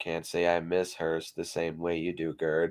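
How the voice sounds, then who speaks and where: Using a put-on character voice, a man speaks at a very deep, low pitch in monotone, flat intonation. His pace is moderate against a quiet background. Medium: read story. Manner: curt, menacing.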